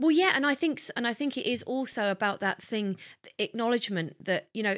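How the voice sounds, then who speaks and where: A woman with a southern English accent talks at a fairly quick pace with lively intonation, on a very clean recording with a silent background. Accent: refined southern English. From southern England, Hertfordshire. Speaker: podcast co-host. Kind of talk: casual chat.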